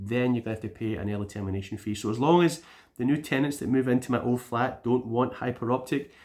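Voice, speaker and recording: A man with a Scottish accent speaks at a fairly quick pace, his medium pitch rising and falling in an ordinary way. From Scotland. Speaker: YouTuber, gaming channel vlogger. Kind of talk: casual vlog update. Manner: rambling, chatty.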